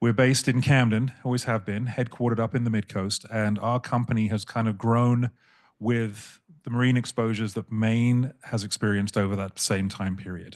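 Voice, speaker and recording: Against a quiet background, a man with a British accent speaks at a medium pitch and a fairly quick pace. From England. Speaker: insurance broker. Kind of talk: panel discussion. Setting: panel event with in-person and online audience. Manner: fast when excited.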